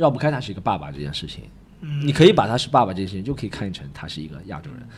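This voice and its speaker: A man's animated, very fast delivery with very wide pitch swings and vocal fry. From Shanghai. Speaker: stand-up comedian. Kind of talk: casual interview chat. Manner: animated, joking.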